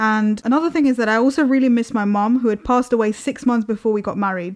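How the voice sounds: Speaking fast, a woman with a fairly high pitch shows ordinary pitch variation.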